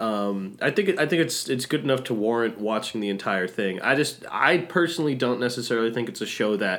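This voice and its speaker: A man speaks at a fairly quick pace with lively intonation and a medium pitch. His is an unremarkable speaking voice. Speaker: podcast co-host. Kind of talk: casual chat. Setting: at home, remote recording.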